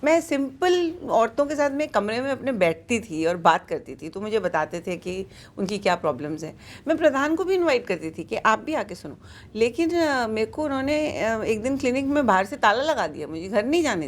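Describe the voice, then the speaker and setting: A woman's fairly high voice with very wide pitch swings at a moderate pace. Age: 60s. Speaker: pediatrician and social worker. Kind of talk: interview. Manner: code-switching Hindi and English.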